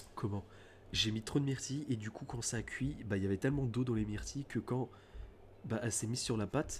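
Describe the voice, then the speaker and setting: A quiet, somewhat breathy man talks at a fairly quick pace. His medium-pitched voice keeps a fairly even intonation. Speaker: gaming streamer. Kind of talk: casual let's play commentary. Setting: at home at night, thin walls. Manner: speaking quietly at night.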